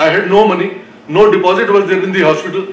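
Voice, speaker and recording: A man's high-pitched voice comes with audible room echo and light background noise. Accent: Indian. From North India. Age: 60s. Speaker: heart transplant patient. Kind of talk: personal testimony. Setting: stage with audience. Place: hall. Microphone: podium.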